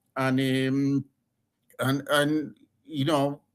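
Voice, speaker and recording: A man with an Argentine accent speaks at a fairly high pitch. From Argentina. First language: Spanish. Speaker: former lawyer. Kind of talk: interview. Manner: halting, many repetitions; passionate.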